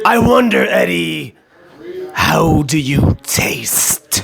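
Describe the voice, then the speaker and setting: A man does a raspy put-on character voice. He talks at a very slow pace. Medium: role play. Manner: slow, menacing.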